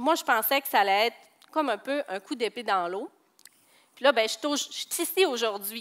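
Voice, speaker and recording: In a Saguenay accent, a woman speaks at a high pitch with lively intonation. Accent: Saguenay Quebec French. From Quebec, Saguenay. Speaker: safety program coordinator at a construction company. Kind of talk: conference presentation. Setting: stage with audience.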